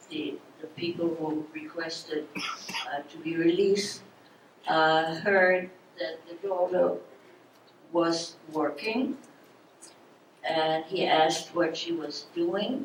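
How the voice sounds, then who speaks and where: Over noticeable background noise, a woman with a fairly low pitch and ordinary pitch variation speaks very slowly, with long, frequent pauses and big swings in loudness. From Germany. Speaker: Holocaust survivor speaker. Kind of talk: public talk.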